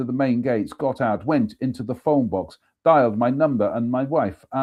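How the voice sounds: Over a quiet background comes a natural reading voice with ordinary pitch variation.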